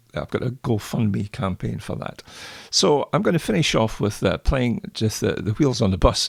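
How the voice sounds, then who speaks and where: With vocal fry and a Scottish accent, a man speaks at a moderate pace and a fairly low pitch, his intonation lively and the sound dry and close with no echo. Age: 70s. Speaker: jazz pianist. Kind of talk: lecture with musical demonstration. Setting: home.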